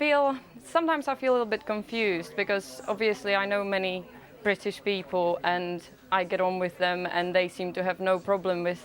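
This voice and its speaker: Her intonation is lively and her pace moderate. The woman has a medium pitch and a Czech accent. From Czech Republic. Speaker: interviewee, immigrant. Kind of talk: news interview. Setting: remote link from Cardiff.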